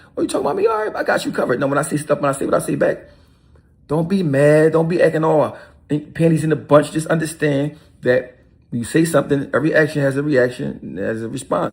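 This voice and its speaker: A man talks at a very fast pace with an animated tone. His voice is somewhat breathy, with ordinary pitch variation. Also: fairly high pitch for a man. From Philadelphia, North Philly. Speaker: rapper. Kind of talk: video interview rant.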